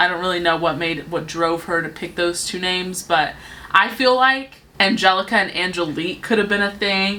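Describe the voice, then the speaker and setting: At a moderate pace, a woman speaks in a medium pitch over noticeable background noise. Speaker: beauty youtuber. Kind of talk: casual chat.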